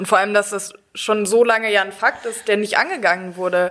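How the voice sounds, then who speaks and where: A woman speaks at a very fast pace, her medium-pitched voice keeping a fairly even intonation. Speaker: law student, politician. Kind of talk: casual chat.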